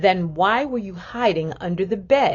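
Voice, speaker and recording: Putting on a booming, growling character voice, a woman speaks at a medium pitch and a moderate pace with lively intonation. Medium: read story. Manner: firm, commanding.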